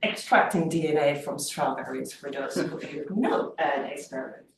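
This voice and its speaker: A woman with a Dutch accent at a moderate pace. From Netherlands, Amsterdam. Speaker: lecturer. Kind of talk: lecture. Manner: halting.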